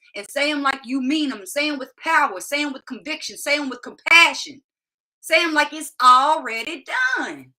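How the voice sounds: The voice has a bright, sharp tone, a moderate pace and ordinary pitch variation. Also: woman.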